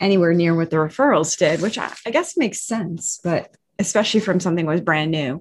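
A woman speaks at a moderate pace in a fairly low voice. It is an unremarkable speaking voice. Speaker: podcast co-host. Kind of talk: casual interview.

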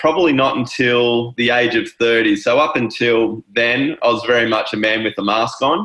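Male voice with an Australian accent, very even in loudness, with hardly any pauses. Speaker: wellness coach. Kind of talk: casual interview chat.

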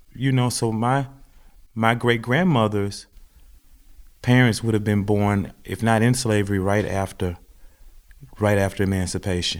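In a Southern US accent, a man talks at a fairly low pitch and moderate pace with ordinary pitch variation. Long, frequent pauses stand out in a very clean recording with a silent background. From US South, Mississippi. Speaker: farmer and podcast co-host. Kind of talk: casual conversation.

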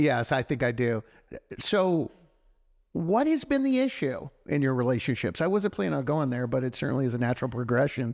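In an unremarkable speaking voice, a man with an American accent talks at a fairly quick pace and medium pitch, recorded very cleanly against a silent background. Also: lively intonation, very even loudness. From Texas. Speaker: radio host. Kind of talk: interview.

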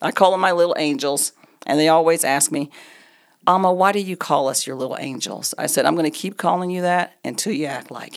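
In an American accent, a woman with an unremarkable speaking voice talks at a fairly quick pace, her pitch varying in an ordinary way while her loudness swings widely. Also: fairly low pitch for a woman. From Oklahoma. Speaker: real estate agent and ministry leader. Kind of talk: casual chat.

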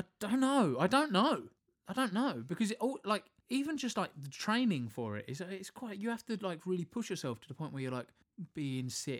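In a British accent, a man with a high pitch talks at a moderate pace, his voice making very wide pitch swings. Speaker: podcast co-host. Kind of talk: casual banter.

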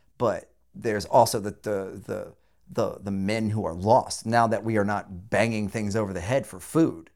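A man with an American accent and fairly low pitch speaks with ordinary pitch variation on a very clean recording with a silent background. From rural Southern California. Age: 40s. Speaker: podcast host. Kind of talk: casual chat, profane.

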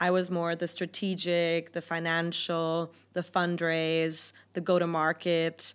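On a very clean recording with a silent background, a woman speaks at a fairly slow pace in a fairly low pitch. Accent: German. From Germany. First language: German. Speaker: venture capital investor. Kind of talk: podcast interview.

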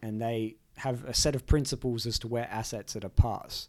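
With an Australian accent, a man speaks at a moderate pace and a medium pitch. His intonation is fairly even, on a very clean recording with a silent background. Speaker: lawyer and podcast host. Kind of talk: casual explanatory chat.

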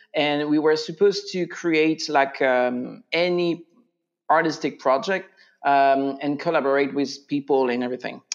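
In a French accent, a man with a fairly high pitch speaks at a moderate pace with fairly even intonation against a quiet background. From France. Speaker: voice teacher and singer. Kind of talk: interview.

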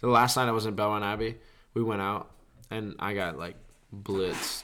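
A bright, sharp tone with a Southern US accent. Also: man. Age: 20s. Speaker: podcast co-host. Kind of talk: casual chat. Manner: casual, jokey.

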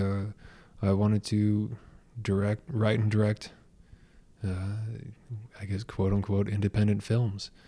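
In a West Coast accent, the speaker talks at a fairly slow pace with long, frequent pauses and a monotone, flat intonation. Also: man. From US Pacific Northwest, Portland, Oregon. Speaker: book reviewer and YouTuber. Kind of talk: casual interview.

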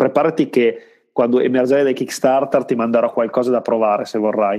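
Heard here is a man with an ordinary speaking voice. His pitch is medium and his intonation fairly even. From Italy, Parma. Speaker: board game designer. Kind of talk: casual interview.

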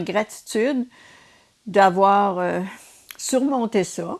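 A woman with ordinary pitch variation. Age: 70s. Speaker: retired nurse and race walker. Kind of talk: interview.

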